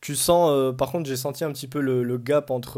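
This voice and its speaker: The voice belongs to a man with a dark, mellow tone. He keeps a moderate pace. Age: 20s. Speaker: student. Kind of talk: casual chat.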